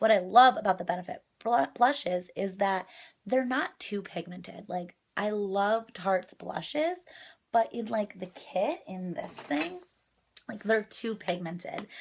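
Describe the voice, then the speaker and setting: Speaking at a fairly slow pace, a woman uses a plain, everyday voice at medium pitch with ordinary pitch variation. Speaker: beauty vlogger. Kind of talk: makeup tutorial.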